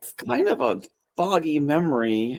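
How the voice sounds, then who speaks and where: A put-on character voice, loud and raspy. The pitch sits in the middle range. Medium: actual play. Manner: nervous, loud.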